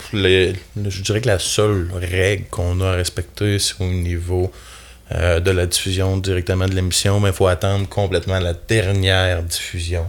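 A man with a very deep, low voice talks at a moderate pace in a monotone, flat way. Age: 30s. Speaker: carpenter foreman and outdoor TV show host. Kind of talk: casual chat.

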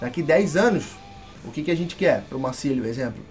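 Against noticeable background noise, a man speaks at a fairly quick pace. His pitch is fairly high, with ordinary variation. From Brazil, Rio de Janeiro. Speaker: former football club president. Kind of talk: casual interview.

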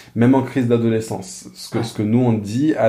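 A man talks at a fairly slow pace in a room with audible echo. Noticeable background noise is present too. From France. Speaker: pastor. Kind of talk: casual interview conversation. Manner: halting, frequent repeated words.

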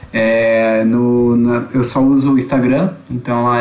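Audible room echo and noticeable background noise surround a man speaking with fairly even intonation. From Blumenau, Santa Catarina, Brazil. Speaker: theology student. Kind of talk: casual podcast chat.

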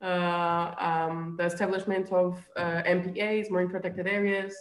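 Speaking with a Portuguese accent, a woman keeps a medium pitch in a monotone, flat intonation. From Azores, Portugal. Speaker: marine biologist and researcher. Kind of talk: casual interview. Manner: halting, with fillers.

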